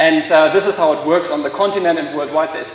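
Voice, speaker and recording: There is noticeable background noise. Through it, a man speaks with a German accent. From Germany. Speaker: law lecturer and intellectual property expert. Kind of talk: conference talk. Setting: stage with audience. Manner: hesitant, many fillers.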